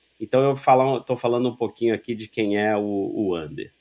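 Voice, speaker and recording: An ordinary speaking voice from a man, medium in pitch, with ordinary pitch variation at a moderate pace. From Rio de Janeiro, Brazil. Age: 40s. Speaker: loss prevention professional. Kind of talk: interview conversation.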